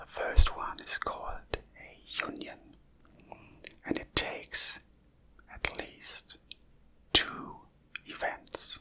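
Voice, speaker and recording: The speaker whispers at a very slow pace with long, frequent pauses, and noticeable background noise runs underneath. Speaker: maths teacher / educator. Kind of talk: educational math lesson, ASMR. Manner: whispered, soft-spoken, slow.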